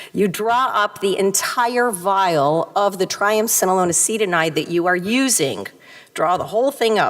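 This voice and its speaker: A woman with an American accent has an unremarkable speaking voice at a medium pitch, with lively intonation, very even loudness and a moderate pace. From US Midwest, Detroit area. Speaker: retina surgeon. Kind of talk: conference talk.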